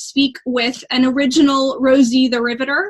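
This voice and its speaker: Noticeable background noise accompanies a woman speaking in a high pitch. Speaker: interview host. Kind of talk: interview questions, casual.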